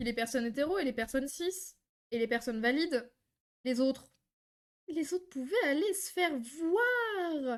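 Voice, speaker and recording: At a fairly slow pace with long, frequent pauses, a woman speaks in a high, animated voice with lively intonation. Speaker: streamer reacting to videos. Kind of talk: live stream reaction commentary.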